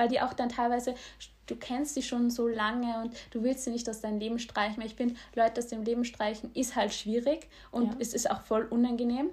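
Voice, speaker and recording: Her voice high in pitch, a woman speaks at a fairly quick pace with monotone, flat intonation. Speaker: podcast co-host. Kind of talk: casual chat.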